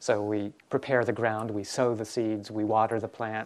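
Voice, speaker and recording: A man's fairly low, monotone voice, flat in intonation and fairly slow in pace. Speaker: Buddhist monk teacher. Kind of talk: dharma talk. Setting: retreat hall with audience. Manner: gentle, calm.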